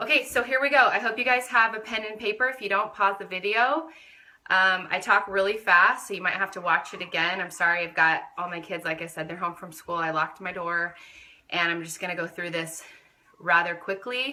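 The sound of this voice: A woman speaks at a fairly quick pace in a fairly low, bright and sharp voice, with fairly even intonation and audible room echo.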